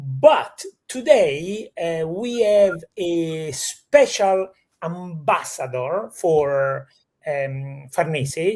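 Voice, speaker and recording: The speaker has an Italian accent. The pace is very slow. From Italy. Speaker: real estate show host. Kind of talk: live stream conversation.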